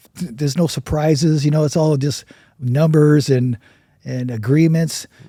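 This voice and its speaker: The man's tone is dark and mellow, his pitch fairly high, his intonation fairly even and his voice somewhat breathy. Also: moderate pace. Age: 60s. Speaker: burn survivor and charity founder. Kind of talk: interview. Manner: halting.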